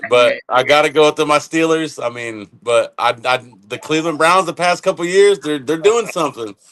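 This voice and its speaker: In a normal speaking voice, a man with fairly high pitch talks at a moderate pace with lively intonation and hardly any pauses. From Ohio. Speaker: master distiller. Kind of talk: casual chat. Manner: relaxed, folksy.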